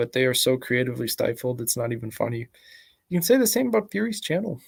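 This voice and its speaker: Soft-spoken and medium in pitch, a man talks in a very clean recording with a silent background. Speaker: YouTuber. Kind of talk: commentary vlog. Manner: halting.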